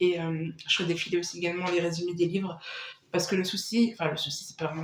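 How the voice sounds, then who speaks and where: Over noticeable background noise, a woman at medium pitch talks at a fairly quick pace. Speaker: booktuber. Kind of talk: casual chat. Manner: hesitant, many fillers; chatty.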